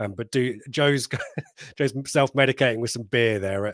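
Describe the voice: A man speaks at medium pitch and a moderate pace, with ordinary pitch variation, a fairly bright tone and a dry, close sound with no echo.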